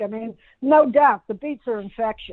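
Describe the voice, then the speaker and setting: A woman speaks at a moderate pace, fairly high in pitch with ordinary variation. It is a plain, everyday voice. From Pittsburgh, Pennsylvania, US. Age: 60s. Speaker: musician. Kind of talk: podcast interview. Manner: casual, with many fillers.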